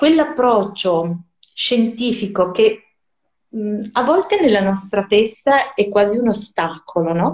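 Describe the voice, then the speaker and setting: A woman speaks at a medium pitch and a fairly slow pace. She has a normal speaking voice. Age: 40s. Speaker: Hebrew scholar, musician and writer. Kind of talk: casual interview. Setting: live stream.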